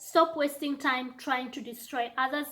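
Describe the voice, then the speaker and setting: The voice is bright and sharp, raised and projected, with a non-native accent. The pace is fairly slow. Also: woman. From Kenya. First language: not English. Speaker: vlogger. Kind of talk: casual monologue.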